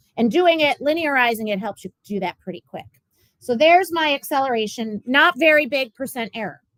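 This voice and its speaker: A woman at a very fast pace with very wide pitch swings, dry sound with no echo, and a quiet background. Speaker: physics teacher. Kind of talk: classroom lecture. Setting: classroom. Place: classroom. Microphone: webcam.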